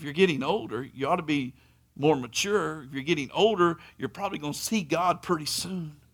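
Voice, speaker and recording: On a very clean recording with a silent background, a man with a fairly high pitch talks at a fairly quick pace, with ordinary pitch variation and big swings in loudness. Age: 40s. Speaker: preacher. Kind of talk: sermon. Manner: animated.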